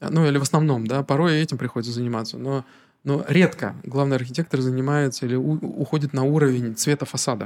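A man speaks very fast in a fairly high pitch. His intonation stays fairly even. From Narva, Estonia (Russian-speaking). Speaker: architect. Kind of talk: casual interview.

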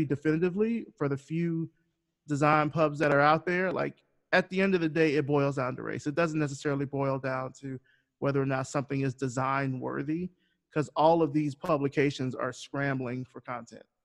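This man has an unremarkable speaking voice with an American accent, fairly high pitch and fairly even intonation, talking at a moderate pace against a quiet background in a dry, close sound with no echo. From US South, rural Alabama (Selma). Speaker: designer and podcast host. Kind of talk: interview.

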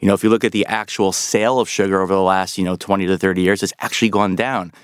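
With a New York accent, a man speaks at a very fast pace in a fairly low, flat, monotone voice, recorded dry and close with no echo in a very clean recording with a silent background. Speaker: health author. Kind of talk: interview.

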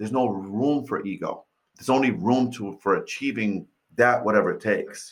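Speaking at a moderate pace with an American accent, a man has an unremarkable speaking voice of medium pitch and fairly even intonation. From New York City. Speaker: real estate investor and mindset coach. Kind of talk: interview.

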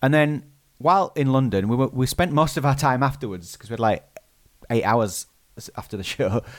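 Lively intonation marks this man's medium-pitched voice, heard in a British accent. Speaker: podcast co-host. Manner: fast talker; fast talker, can sound garbled.

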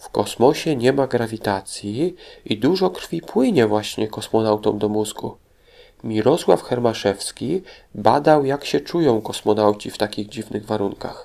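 This man has an unremarkable speaking voice, medium in pitch, moving at a fairly slow pace with lively intonation. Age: 40s. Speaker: children's history podcast host. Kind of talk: educational talk for children.

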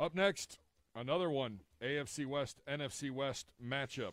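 Using a normal speaking voice, a man talks with an American accent at a moderate pace with ordinary pitch variation. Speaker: sports radio producer. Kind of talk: casual sports talk. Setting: studio.

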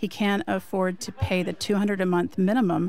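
This woman has a normal speaking voice at a medium pitch. She talks at a fairly slow pace. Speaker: radio producer. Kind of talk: reading listener mail aloud. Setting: remote studio in Chicago.

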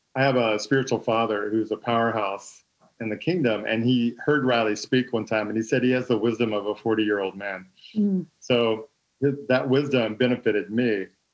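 Using a plain, everyday voice with an American accent, a man speaks at a moderate pace in a medium pitch with ordinary pitch variation. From Texas. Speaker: former pastor's son in church ministry. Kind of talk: casual chat.

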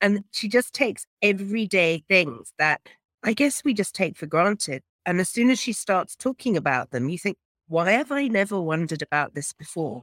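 The pitch swings very widely at a moderate pace. The sound is dry and close with no echo, on a very clean recording with a silent background. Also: woman, medium pitch for a woman. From England. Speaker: professional association leader. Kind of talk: casual chat.

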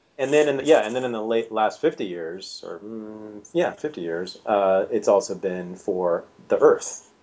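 With an American accent, a man delivers his words at a moderate pace. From California. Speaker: historian and author. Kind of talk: interview.

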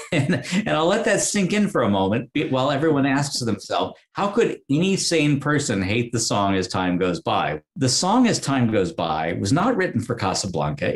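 A man's voice swings very widely in pitch and carries vocal fry. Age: 50s. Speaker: author and documentary producer. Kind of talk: interview. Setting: video call.

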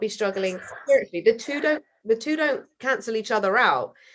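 Over a quiet background, a woman with a British accent talks fairly quickly at a fairly high pitch, with ordinary pitch variation. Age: 20s. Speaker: singer-songwriter. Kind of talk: casual interview conversation.

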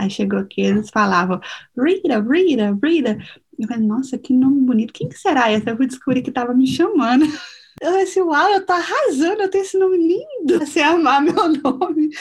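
A woman speaks with a high pitch and very wide pitch swings at a fairly quick pace over noticeable background noise. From Minas Gerais, Brazil. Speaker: lawyer and city councilor. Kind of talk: interview testimony.

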